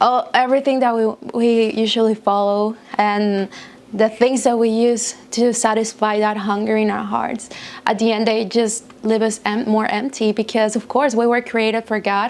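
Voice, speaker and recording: Speaking with a non-native accent, a woman talks at a moderate pace and a fairly high pitch in monotone, flat intonation. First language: not English. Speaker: youth speaker on chastity. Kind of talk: talk to teens.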